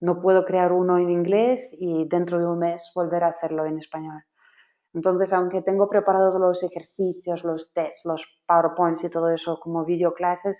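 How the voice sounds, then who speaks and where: At a moderate pace, a woman with a non-native accent speaks in a fairly low pitch with monotone, flat intonation. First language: not Spanish (speaking Spanish). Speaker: software trainer. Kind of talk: webinar workshop.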